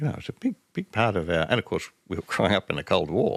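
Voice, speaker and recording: Dry and close with no echo, the recording captures a man talking fairly quickly with an Australian accent. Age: 70s. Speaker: strategic studies professor. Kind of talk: interview conversation. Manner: halting, repeats words.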